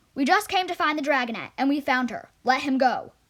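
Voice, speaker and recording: A woman's put-on character voice, high in pitch, at a fairly quick pace. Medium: read story.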